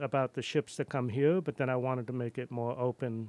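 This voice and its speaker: Recorded very cleanly, dry and close with no echo and a silent background, the speaker has a New York accent and fairly even intonation. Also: man. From New York City and Cape Cod. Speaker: artist and printmaking instructor. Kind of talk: casual radio interview. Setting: studio.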